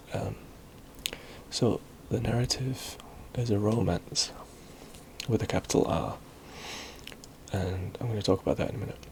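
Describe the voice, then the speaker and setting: Soft-spoken and fairly low in pitch, a man talks at a moderate pace with ordinary pitch variation and long, frequent pauses. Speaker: ASMR video creator. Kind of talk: ASMR educational talk about literary history. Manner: soft-spoken, hesitant with frequent filler words.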